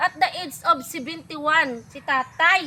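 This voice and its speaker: A woman speaks in an extremely high voice with a bright, sharp tone. She raises and projects it. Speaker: vlogger. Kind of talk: casual vlog talk to camera. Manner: upbeat.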